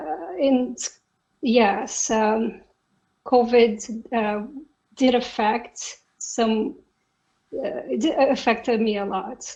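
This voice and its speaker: A woman with a Brazilian accent speaks at a fairly high pitch. She goes at a very slow pace with long, frequent pauses. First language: Portuguese. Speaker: software engineer. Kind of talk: interview.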